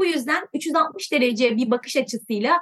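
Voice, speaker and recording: The intonation is lively and the pace is moderate. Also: woman. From Turkey, smaller coastal town. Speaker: climate NGO board chair. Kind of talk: interview.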